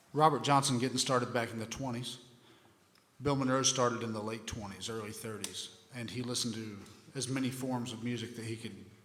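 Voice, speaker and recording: Amid noticeable background noise and audible room echo, a man with an American accent speaks at a medium pitch in flat, monotone intonation. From southeastern Ohio (Appalachian region). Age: 40s. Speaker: bluegrass guitarist and music instructor. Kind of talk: music workshop talk with Q&A. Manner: halting, many fillers.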